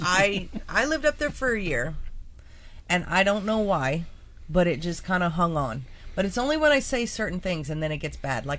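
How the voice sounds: A woman with a North Dakota accent speaks at a moderate pace and medium pitch, her pitch swinging very widely.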